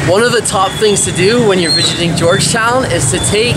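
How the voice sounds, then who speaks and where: Loud background noise runs under a man speaking at a fairly quick pace. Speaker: travel vlogger. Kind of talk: travel vlog narration. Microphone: phone near.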